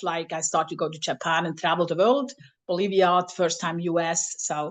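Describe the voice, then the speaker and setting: A woman with a non-native accent, talking at a fairly quick pace against a quiet background. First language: not English. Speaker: flute professor. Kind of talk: workshop presentation. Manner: halting.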